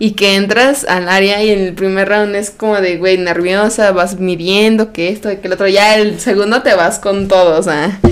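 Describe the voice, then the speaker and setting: With a Mexican accent, a woman speaks at a moderate pace with hardly any pauses, her medium-pitched voice fairly even in intonation, while noticeable background noise carries on behind her. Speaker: podcast co-host. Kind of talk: casual chat.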